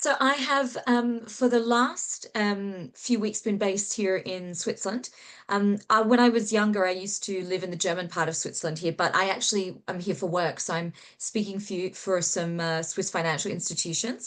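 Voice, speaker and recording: Against a quiet background, a woman with an Australian accent talks at a moderate pace. Her pitch is medium, with ordinary variation. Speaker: author and human connection specialist. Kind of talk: interview.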